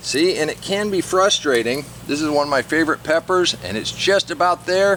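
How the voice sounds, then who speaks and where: Over noticeable background noise, a man with a high pitch talks at a moderate pace with ordinary pitch variation. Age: 60s. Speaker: gardening YouTuber. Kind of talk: casual garden tutorial. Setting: outdoors in garden. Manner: relaxed conversational.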